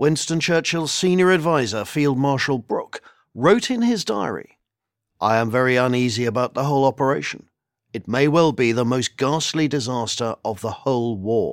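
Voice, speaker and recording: A man with a British accent, medium pitch and lively intonation, on a very clean recording with a silent background. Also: moderate pace. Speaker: military historian. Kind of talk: history documentary narration. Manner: measured, solemn, authoritative; dramatic, steady pacing.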